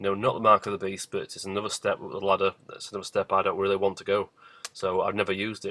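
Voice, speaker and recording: A man with a British accent at a very fast pace, big swings in loudness, in a dry, close sound with no echo. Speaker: vlogger. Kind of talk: casual video monologue. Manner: hesitant, many fillers.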